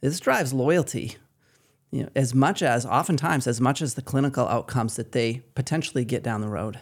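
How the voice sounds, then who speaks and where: A man with a Maine accent speaks at a fairly quick pace on a very clean recording with a silent background. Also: medium pitch for a man, ordinary pitch variation. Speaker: patient experience coordinator. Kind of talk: casual interview.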